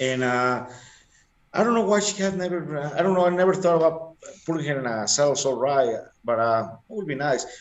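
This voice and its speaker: Talking at a fairly quick pace yet with long, frequent pauses, a man uses a fairly high pitch and lively intonation amid audible room echo. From Mexico. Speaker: long-distance motorcyclist. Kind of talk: interview. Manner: halting.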